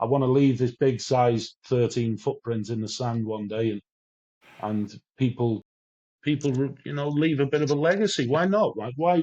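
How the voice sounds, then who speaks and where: A man with a Welsh accent, moderate pace and ordinary pitch variation. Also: medium pitch for a man. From Wales, near English border. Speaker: addiction recovery speaker. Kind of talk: interview. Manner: animated.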